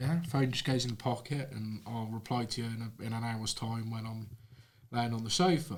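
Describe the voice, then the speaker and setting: A man with a British accent, somewhat breathy, at a moderate pace with ordinary pitch variation. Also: medium pitch for a man. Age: 30s. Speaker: plumber and social media creator. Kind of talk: casual chat.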